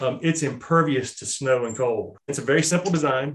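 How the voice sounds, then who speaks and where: Speaking with an American accent in an unremarkable speaking voice, a man with a fairly high pitch moves at a fairly quick pace with fairly even intonation. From Charlotte, North Carolina. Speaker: small business owner, outdoor apparel company. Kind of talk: casual interview. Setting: remote recording.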